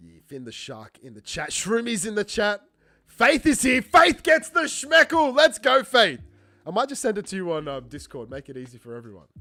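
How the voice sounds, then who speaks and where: On a very clean recording with a silent background, a man in a raised, projected, high voice with a bright, sharp tone speaks at a moderate pace, with very wide pitch swings and big swings in loudness. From Australia. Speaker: game show host on livestream. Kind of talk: livestream game show chat. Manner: animated.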